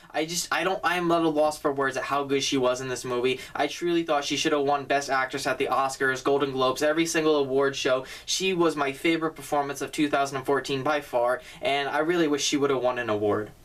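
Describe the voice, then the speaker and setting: A man talks at a very fast pace with hardly any pauses over noticeable background noise. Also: fairly high pitch for a man. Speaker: film reviewer. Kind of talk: casual film review vlog. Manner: enthusiastic.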